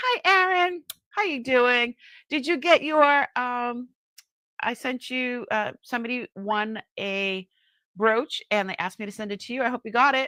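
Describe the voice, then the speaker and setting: In a Boston accent, a woman talks with a high, bright, sharp voice and lively intonation, the sound dry and close with no echo on a very clean recording with a silent background. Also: fairly slow pace. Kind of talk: friendly, chatty, live sales stream.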